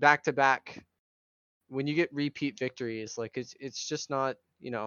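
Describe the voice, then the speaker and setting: Speaking in a normal speaking voice, a man with a fairly high pitch talks at a moderate pace with ordinary pitch variation. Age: young. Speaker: podcast guest, fan. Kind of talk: casual chat.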